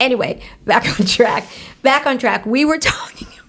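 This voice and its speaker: A woman's high voice in an animated tone, with ordinary pitch variation and a moderate pace, over noticeable background noise. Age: 50s. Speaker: health podcast host. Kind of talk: casual chat.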